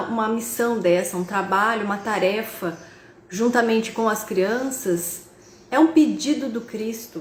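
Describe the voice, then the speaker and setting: Speaking fairly slowly in a fairly high pitch with ordinary variation, a woman is heard over noticeable background noise and audible room echo. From Brazil, interior of São Paulo state (Tupã). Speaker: spiritist speaker and university professor. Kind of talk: online lecture. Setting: video call. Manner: halting, with fillers and repetitions.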